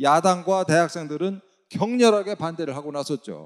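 A man's fairly high voice, high for a man, at a moderate pace, with ordinary pitch variation and a dry, close sound with no echo. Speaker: former government official, lecturer. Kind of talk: lecture.

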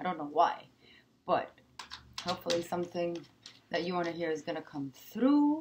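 Pitched fairly low, a woman speaks at a moderate pace with lively intonation and long, frequent pauses, with noticeable background noise behind her. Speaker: tarot reader. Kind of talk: improvised tarot reading to camera. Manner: hesitant, many filler sounds. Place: home room. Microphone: webcam.

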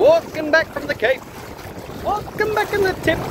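A man talks at a moderate pace in a dry, echo-free recording with noticeable background noise. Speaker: travel vlogger. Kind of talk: casual vlog chat.

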